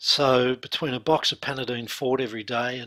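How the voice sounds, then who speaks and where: On a very clean recording with a silent background, a man talks at a moderate pace. He has a medium pitch, a bright, sharp tone and an Australian accent. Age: 60s. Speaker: hypnotherapist and mindset coach. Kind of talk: interview testimony.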